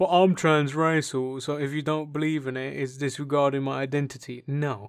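A man at a moderate pace with monotone, flat intonation, on a very clean recording with a silent background. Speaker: podcast host. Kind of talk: casual banter podcast. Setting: home recording, echoey room. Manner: crude, joking, banter.

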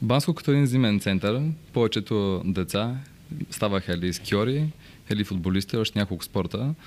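A man speaks in a normal speaking voice, fairly low in pitch, with ordinary pitch variation. His pace is moderate and his loudness very even. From Bulgaria, Bansko. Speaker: real estate broker. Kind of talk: interview storytelling.

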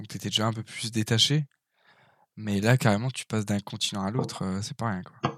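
A man with a plain, everyday voice, fairly low pitch, ordinary pitch variation and a fairly quick pace, in a dry, close sound with no echo. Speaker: podcast host. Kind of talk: casual chat.

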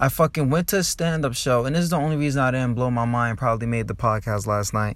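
With an American accent, a man at medium pitch talks in an animated tone, his intonation lively. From New Jersey. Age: 20s. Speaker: stand-up comic and podcaster. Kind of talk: angry comedic rant, stand-up style. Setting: recorded in his car. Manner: animated, profane, ranting.

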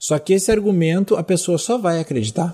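A man with a dark, mellow tone. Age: 20s. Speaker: yoga teacher. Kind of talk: solo monologue. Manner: hesitant, many fillers.

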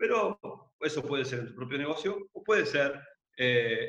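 A man with an Argentine accent at a moderate pace. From Mar del Plata, Argentina. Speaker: entrepreneur and podcast co-host. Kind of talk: casual chat, podcast conversation. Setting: remote call during quarantine.

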